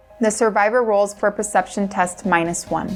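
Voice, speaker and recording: A woman talks at a moderate pace with an American accent. Music plays in the background. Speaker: voice-over narrator. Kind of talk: scripted narration.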